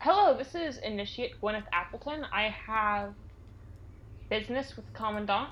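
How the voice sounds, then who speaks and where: A woman speaks in a normal speaking voice at a fairly high pitch and a moderate pace. Her pitch variation is ordinary, and her loudness swings widely. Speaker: player. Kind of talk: tabletop role-playing game session.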